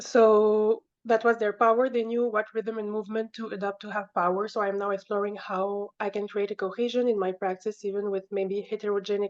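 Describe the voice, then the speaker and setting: In a non-native accent, a woman speaks at a moderate pace with a fairly high pitch and flat, monotone intonation. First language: not English. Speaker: painter. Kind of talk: reading aloud. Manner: halting.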